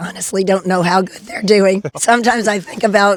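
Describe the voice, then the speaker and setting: Over noticeable background noise, a woman with an American accent speaks at medium pitch with fairly even intonation. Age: 70s. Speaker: ninja warrior athlete. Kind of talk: interview answer.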